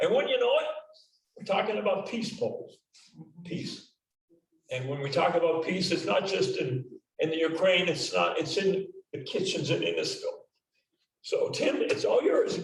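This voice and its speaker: Long, frequent pauses from a man talking at a moderate pace, with audible echo in the room. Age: 70s. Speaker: retired police detective, club member. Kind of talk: club meeting remarks.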